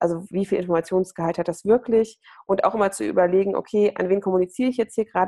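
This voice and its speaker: Her tone is dark and mellow as a woman speaks at a very fast pace. The intonation stays fairly even. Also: dry, close sound with no echo. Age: 20s. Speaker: nonprofit platform worker and student. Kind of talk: podcast interview.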